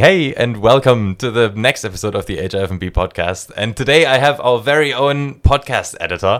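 A man's plain, everyday voice at a medium pitch, fairly quick, with hardly any pauses and lively intonation. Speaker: podcast host. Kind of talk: casual chat. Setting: room with open windows, trains audible.

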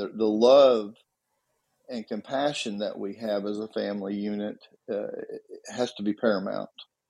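With a Southern US accent, a man is talking. He keeps a moderate speed. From Tennessee. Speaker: retired policeman. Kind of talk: casual chat.

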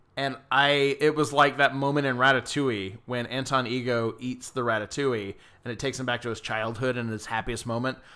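An American-accented man speaks at a medium pitch and fairly quick pace, with hardly any pauses and fairly even intonation. His tone is bright and sharp, and the recording is very clean with a silent background. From US South, Georgia. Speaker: podcast co-host. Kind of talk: casual chat.

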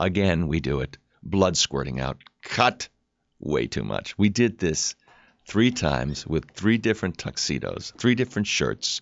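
Very deep and low, a man's voice with vocal fry moves at a fairly slow pace through very wide pitch swings. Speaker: actor. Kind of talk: casual chat.

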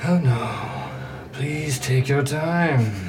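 Heard over clear background noise, a put-on character voice speaks at a low-to-middle pitch. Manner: sarcastic, faintly dying.

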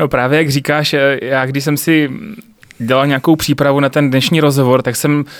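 A man speaks at a fairly high pitch in a monotone, flat intonation. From Czech Republic, South Moravia (Znojmo). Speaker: podcast host. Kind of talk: interview.

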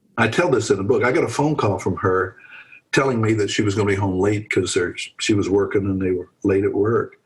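Somewhat breathy and fairly quick, a man speaks at a medium pitch with lively intonation on a very clean recording with a silent background. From Pennsylvania. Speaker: retired pastor. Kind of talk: casual interview.

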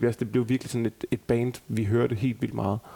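The speaker uses a normal speaking voice at a fairly quick pace with fairly even intonation. The sound is dry and close with no echo. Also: man. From Denmark, Aarhus. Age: 30s. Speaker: tribute band member. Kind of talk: casual chat.

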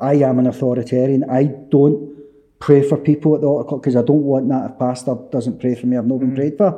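A man with a Glaswegian accent talks at a very fast pace and medium pitch, keeping his intonation fairly even. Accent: Glaswegian Scottish. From Scotland, Easterhouse in Glasgow's East End. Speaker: author and former addict. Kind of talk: testimony.

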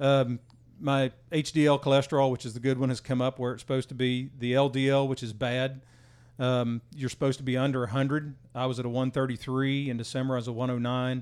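Talking at a very fast pace, a man keeps a medium pitch and a monotone, flat intonation. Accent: American. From West Virginia. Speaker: military veteran sharing weight-loss journey. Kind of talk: casual chat.

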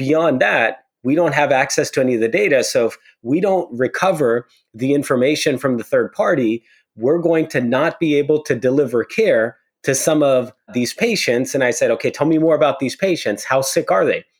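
On a very clean recording with a silent background, a man with an unremarkable speaking voice and a fairly high pitch talks at a moderate pace, with ordinary pitch variation and very even loudness. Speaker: security executive. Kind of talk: interview conversation.

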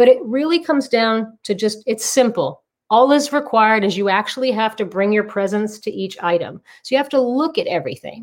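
An unremarkable speaking voice from a woman with an American accent, fairly high pitch, lively intonation and a fairly quick pace. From Massachusetts, US. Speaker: author and decluttering coach. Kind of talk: interview.

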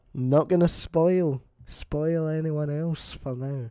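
A man with a Scottish accent and a dark, mellow tone. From Scotland. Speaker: podcast host. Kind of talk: casual chat.

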